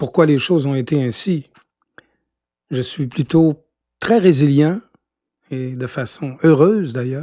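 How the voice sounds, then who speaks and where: A man's fairly high voice has a dark, mellow tone. He speaks very slowly, with long, frequent pauses. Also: ordinary pitch variation. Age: 60s. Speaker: radio host. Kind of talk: interview. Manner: hesitant, many fillers.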